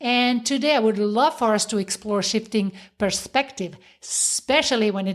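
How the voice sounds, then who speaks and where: A woman at a fairly high pitch and a moderate pace, ordinary pitch variation, on a very clean recording with a silent background. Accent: slight French. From French-speaking Switzerland. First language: French. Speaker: podcast host, self-help coach. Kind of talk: motivational podcast monologue.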